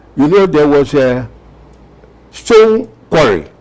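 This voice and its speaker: Very wide pitch swings from a fairly high-pitched man, with noticeable background noise. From Ghana. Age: 80s+. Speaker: war veteran. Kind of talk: interview answer.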